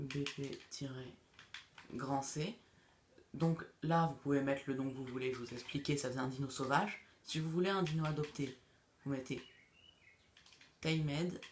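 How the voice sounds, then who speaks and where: Pausing long and often, a man with a fairly high pitch speaks at a fairly slow pace with fairly even intonation. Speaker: gaming youtuber. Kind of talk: tutorial. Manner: halting; casual.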